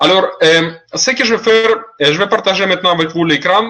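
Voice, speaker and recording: A man speaks over noticeable background noise. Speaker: online seminar presenter. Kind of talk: webinar presentation. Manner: halting, many fillers.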